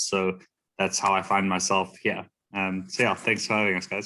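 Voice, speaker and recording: In a South African accent, a man with a fairly low pitch and a bright, sharp tone speaks at a moderate pace. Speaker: economic development consultant. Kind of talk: self-introduction.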